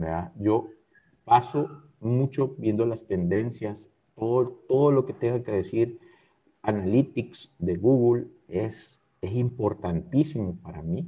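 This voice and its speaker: Somewhat breathy, a man's voice moves along at a very slow pace. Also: medium pitch for a man, lively intonation. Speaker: creative agency director. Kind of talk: casual interview.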